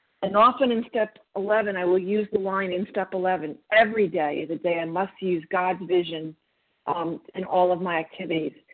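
Speaking at a moderate pace, a woman uses an unremarkable speaking voice with medium pitch and fairly even intonation. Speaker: twelve-step group member. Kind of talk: testimony.

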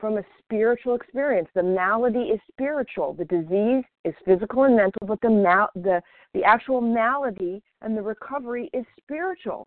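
A woman with a normal speaking voice talks at a moderate pace, her fairly high pitch rising and falling in lively intonation. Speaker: recovering overeater sharing at meeting. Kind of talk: recovery meeting share. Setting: phone call.

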